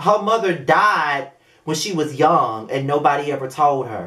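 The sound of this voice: The tone is fairly bright, with ordinary pitch variation and a fairly slow pace.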